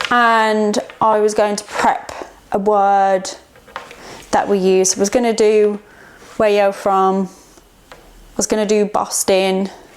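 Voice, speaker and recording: A woman speaks very slowly in a relaxed tone at a medium pitch, her intonation flat and monotone, her loudness swinging widely, with noticeable background noise behind her. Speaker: artist and art workshop facilitator. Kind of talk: casual vlog talk while working. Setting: art studio. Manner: relaxed, hesitant with fillers.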